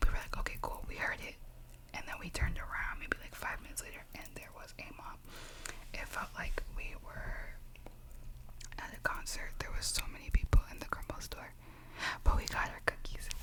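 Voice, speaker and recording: A woman whispers at a moderate pace with long, frequent pauses and big swings in loudness, while noticeable background noise runs behind her. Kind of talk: ASMR whisper ramble. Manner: whispered, soft-spoken.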